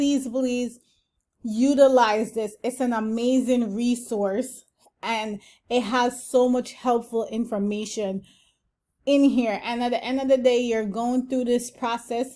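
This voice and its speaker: A woman with a high pitch and a dark, mellow tone speaks very slowly in a monotone, flat intonation, recorded very cleanly against a silent background. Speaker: housing channel creator, affordable housing development staff. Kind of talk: tutorial.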